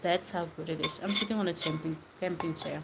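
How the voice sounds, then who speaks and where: A woman speaks at a fairly low pitch and a fairly slow pace. Her intonation is fairly even, and there is noticeable background noise. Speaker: live streamer. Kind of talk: casual chat. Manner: whispering, soft.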